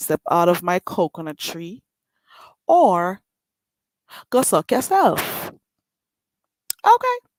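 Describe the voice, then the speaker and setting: Very slow female speech in a strong Jamaican accent, full of long, frequent pauses, dry and close with no echo. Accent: strong Jamaican island. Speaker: livestreamer. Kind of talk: casual livestream chat. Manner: slow talking.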